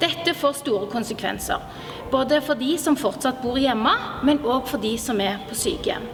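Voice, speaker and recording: A woman with a high pitch and lively intonation over music in the background. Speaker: physiotherapist and doctoral research fellow. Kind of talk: short persuasive address to the health minister.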